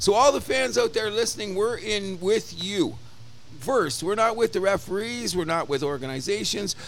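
With music in the background, the speaker talks at a moderate pace with lively intonation. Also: man, high pitch for a man. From Canada. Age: 60s. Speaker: sports podcast co-host. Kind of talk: casual chat. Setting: bar. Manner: animated.

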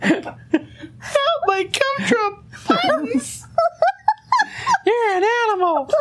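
A squeaky, extremely high-pitched put-on character voice moves at a very slow pace with very wide pitch swings and long, frequent pauses. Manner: panicked, pleading.

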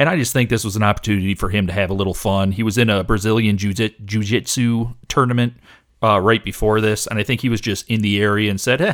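Very fast speech from a man with an American accent, fairly low-pitched, with fairly even intonation, on a very clean recording against a silent background. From Michigan. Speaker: wrestling podcast host. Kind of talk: casual chat.

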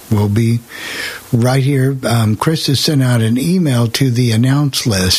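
An American-accented man speaks at medium pitch with ordinary pitch variation. Noticeable background noise runs under his voice. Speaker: radio host. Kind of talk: casual chat. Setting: video call.

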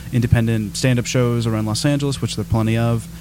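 A man with an American accent and a medium pitch, amid noticeable background noise. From Southern California. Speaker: stand-up comedian. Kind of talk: casual chat. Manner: articulate, dry delivery.

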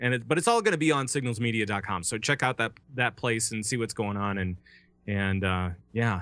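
On a very clean recording with a silent background, a man with an American accent talks at a fairly quick pace, his medium pitch showing ordinary variation and his tone bright and sharp. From Minnesota. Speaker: voice actor and podcast network founder. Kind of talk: casual interview.

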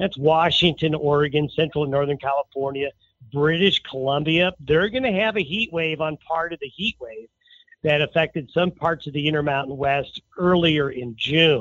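A man's normal speaking voice, a normal speaking voice with fairly high pitch, ordinary pitch variation and a moderate pace. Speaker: meteorologist. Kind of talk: weather forecast interview.

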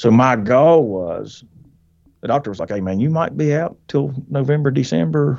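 A man's plain, everyday voice at a moderate pace against a quiet background. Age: 40s. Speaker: hunter. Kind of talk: casual chat. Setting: in a truck.

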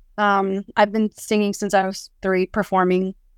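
A woman speaks at a medium pitch. She has a western US accent. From Utah, Salt Lake City area. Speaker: podcast guest sharing life story. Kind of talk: testimony. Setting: video call.

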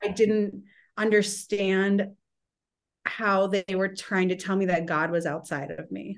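Using a plain, everyday voice, a woman talks at a fairly slow pace, with a medium pitch and fairly even intonation. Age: 30s. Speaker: author and illustrator. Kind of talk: casual interview chat.

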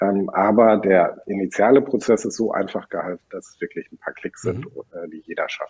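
A man at a moderate pace, his loudness swinging widely, in a dry, close recording with no echo. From Germany, Sauerland. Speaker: software company founder. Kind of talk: interview.

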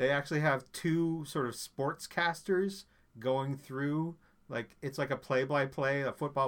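An unremarkable speaking voice belongs to a man with fairly high pitch, who talks at a fairly slow pace with fairly even intonation. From Newfoundland, Canada. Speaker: food podcaster. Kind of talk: casual chat.

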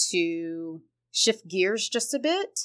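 This woman has an American accent. Her pace is very slow. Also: very clean recording, silent background. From Ohio, Columbus. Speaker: education consultant. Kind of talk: podcast interview.

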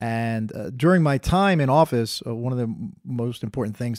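A man speaks in a New Jersey accent at medium pitch with ordinary pitch variation. His pace is moderate, and the sound is dry and close with no echo. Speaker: former public official. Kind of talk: interview. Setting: on location. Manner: halting, many fillers.

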